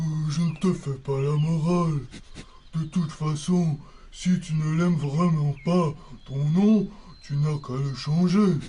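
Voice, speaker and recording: A man puts on a character voice, fairly high in pitch. He speaks at a fairly slow pace, with long, frequent pauses. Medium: audio drama.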